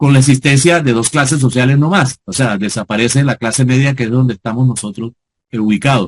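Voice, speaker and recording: The voice is somewhat breathy and moves at a fairly quick pace with ordinary pitch variation. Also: man, medium pitch for a man. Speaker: sociologist and lecturer. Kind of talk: lecture. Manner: fast.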